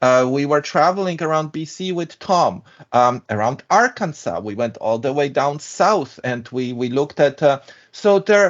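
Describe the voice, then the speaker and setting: A man speaks with a European accent and lively intonation. His pitch is fairly high and his pace moderate. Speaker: structural engineer. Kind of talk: interview.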